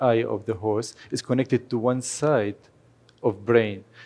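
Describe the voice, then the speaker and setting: A man's dark, mellow voice with a Kurdish accent, medium in pitch with fairly even intonation. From Syria (Aleppo), Kurdish family. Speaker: horse photographer. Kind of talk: lecture.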